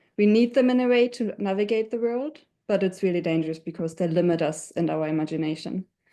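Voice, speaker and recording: A woman with a German accent speaks at a very fast pace over a quiet background. Her fairly low voice has a dark, mellow tone and ordinary pitch variation. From Germany. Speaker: webinar panelist. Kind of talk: panel discussion.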